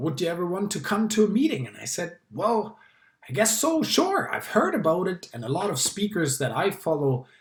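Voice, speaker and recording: A man with a German accent, moderate pace, and very wide pitch swings. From Germany. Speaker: public speaking club member. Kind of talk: personal talk to camera.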